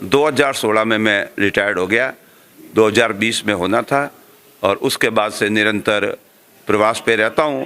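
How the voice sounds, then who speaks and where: With an unremarkable speaking voice, a man talks at a fairly low pitch, keeping fairly even intonation and very even loudness. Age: 60s. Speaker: education organization official. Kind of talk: interview. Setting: school event.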